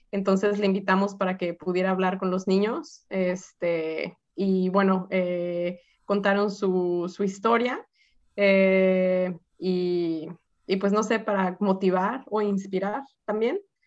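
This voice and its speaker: A woman speaks at a very slow pace with fairly even intonation. Her loudness stays very even. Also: medium pitch for a woman. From Mexico, Guadalajara. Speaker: community organization president. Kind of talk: interview.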